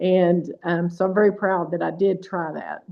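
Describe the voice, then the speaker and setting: A woman with a normal speaking voice talks at medium pitch and a moderate pace. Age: 60s. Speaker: patient sharing experience, retired pharmacist. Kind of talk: testimony. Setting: call.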